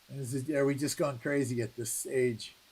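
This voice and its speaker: A man is speaking. His voice is fairly high in pitch. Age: 60s. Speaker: coin roll hunting live streamer. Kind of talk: casual live stream chat.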